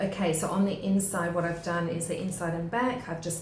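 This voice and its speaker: An Australian accent from a woman with a fairly low voice, moderate pace and fairly even intonation, amid audible room echo and noticeable background noise. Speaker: craft tutorial maker. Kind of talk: tutorial.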